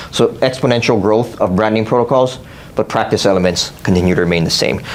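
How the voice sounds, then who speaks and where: Over noticeable background noise and audible room echo, a man talks very fast at a fairly low pitch. His loudness stays very even, with ordinary pitch variation. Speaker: psychology professor and clinical psychologist. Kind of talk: conference presentation. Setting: workshop with live audience.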